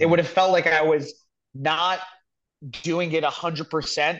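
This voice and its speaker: A man's ordinary speaking voice at a moderate pace. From New Jersey (born in the Bronx). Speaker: comedian. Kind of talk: casual chat.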